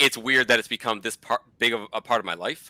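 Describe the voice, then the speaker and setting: A bright, sharp voice with an American accent, in a very clean recording with a silent background and a dry, close sound with no echo. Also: man. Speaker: comic book YouTuber. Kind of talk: casual chat. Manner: mumbling.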